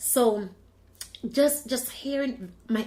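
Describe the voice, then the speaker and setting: A woman speaks in an animated tone, somewhat breathy, with ordinary pitch variation. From Jamaica. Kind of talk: personal testimony.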